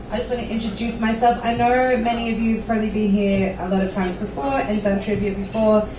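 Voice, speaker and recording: A woman with an Australian accent and a fairly high voice speaks at a moderate pace with ordinary pitch variation. Audible room echo and noticeable background noise are present. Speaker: trivia night host. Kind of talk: live event hosting. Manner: halting, many fillers.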